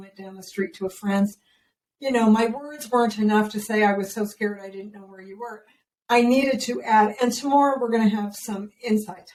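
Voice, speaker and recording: A woman with a normal speaking voice talks at a fairly quick pace in a fairly high pitch. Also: big swings in loudness. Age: 60s. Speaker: parenting educator. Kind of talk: interview. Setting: podcast.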